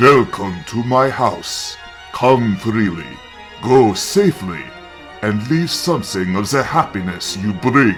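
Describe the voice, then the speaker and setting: Someone performs in a put-on character voice. Clear music plays in the background. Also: man, medium pitch for a man, fairly slow pace. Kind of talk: gothic horror reading. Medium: read story. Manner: courtly, formal, measured.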